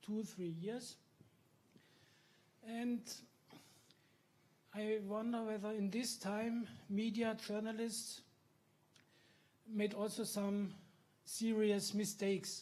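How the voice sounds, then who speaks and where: Long, frequent pauses break up the very slow, monotone, flat delivery of a man with a high pitch and a German accent. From Germany. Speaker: journalist, audience member. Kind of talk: audience question.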